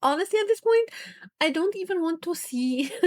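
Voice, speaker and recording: A woman mumbles at a fairly quick pace with a non-native accent and very wide pitch swings. The sound is dry and close, without echo. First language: not English. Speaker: gaming YouTuber. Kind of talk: emotional vlog rant. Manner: halting, stammering; mumbling.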